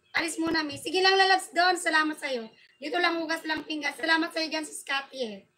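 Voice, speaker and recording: A raised, projected voice rushes along at a very fast pace in an animated tone. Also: woman. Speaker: livestream host. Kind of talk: livestream chat. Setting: live stream. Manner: loud.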